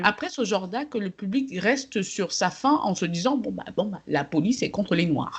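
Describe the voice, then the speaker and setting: With a plain, everyday voice, a woman speaks at a moderate pace and medium pitch. Her intonation is lively, with hardly any pauses. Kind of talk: casual podcast conversation.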